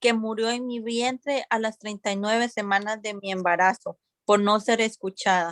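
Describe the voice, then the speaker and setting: A woman speaks at a moderate pace with fairly even intonation. The sound is dry and close, with no echo. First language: Spanish. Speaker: public hearing witness. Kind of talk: testimony.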